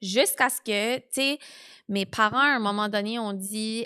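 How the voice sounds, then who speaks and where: On a very clean recording with a silent background, the speech moves at a moderate pace with fairly even intonation. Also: woman. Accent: Acadian. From New Brunswick, Canada. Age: 20s. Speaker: podcast host. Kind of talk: personal testimony. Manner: casual, filler-heavy.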